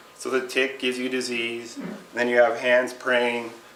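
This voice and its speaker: Audible room echo and noticeable background noise surround a man speaking at medium pitch. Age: 30s. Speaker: Lyme disease patient and speaker. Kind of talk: speech to a support group.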